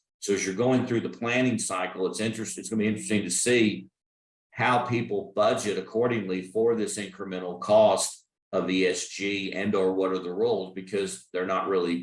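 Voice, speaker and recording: Here a man talks with a Texas accent. His pitch sits fairly low. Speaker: energy risk consultant. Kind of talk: expert talk. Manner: halting.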